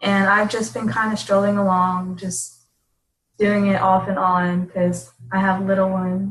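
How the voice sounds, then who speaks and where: With ordinary pitch variation, a woman talks fairly slowly at a medium pitch in a somewhat breathy voice. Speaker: fitness coach. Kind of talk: casual chat.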